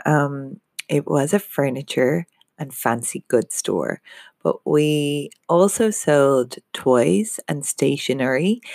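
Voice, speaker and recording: In an Irish accent, a woman speaks very slowly with a very deep, low pitch, in dry, close sound with no echo. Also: lively intonation. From Ireland. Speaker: business coach. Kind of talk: podcast monologue. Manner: halting.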